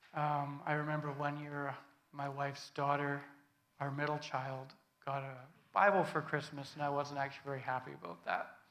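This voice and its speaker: A man with a Canadian accent speaks at a moderate pace in a fairly high pitch, his bright, sharp tone and fairly even intonation carrying audible room echo. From Canada, British Columbia (Prince George). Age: 40s. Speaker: guest speaker giving testimony. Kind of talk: sermon testimony. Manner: halting, many fillers.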